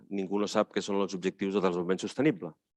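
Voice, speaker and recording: Heard in a dry, close sound with no echo over a quiet background, the speaker has a Catalan accent. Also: man. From Catalonia. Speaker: panelist, head of a city network. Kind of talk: conference talk. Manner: many hesitations.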